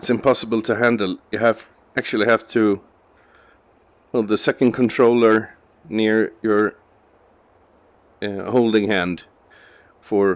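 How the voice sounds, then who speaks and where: With a non-native accent, the speaker goes at a fairly slow pace in a monotone, flat intonation broken by long, frequent pauses. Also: man, fairly low pitch for a man. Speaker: gaming video creator. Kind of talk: gameplay commentary. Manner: halting.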